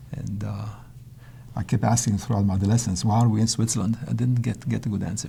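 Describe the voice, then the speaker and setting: The delivery runs at a very fast pace. Intonation is fairly even throughout. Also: man, medium pitch for a man. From Israel, Tel Aviv, with Polish-speaking home. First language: Polish. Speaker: mathematician. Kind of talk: interview. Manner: halting, many repetitions and false starts.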